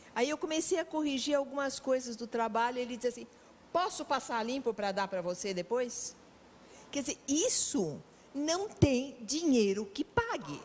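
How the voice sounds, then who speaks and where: Her pitch is high and her intonation lively as this woman speaks at a moderate pace. Background noise is noticeable. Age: 70s. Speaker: veteran teacher. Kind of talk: talk show interview.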